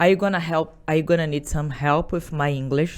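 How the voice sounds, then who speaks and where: The speaker has a Portuguese accent. The recording is very clean, with a silent background. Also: woman. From Brazil. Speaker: salon business owner. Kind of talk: podcast interview. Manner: halting.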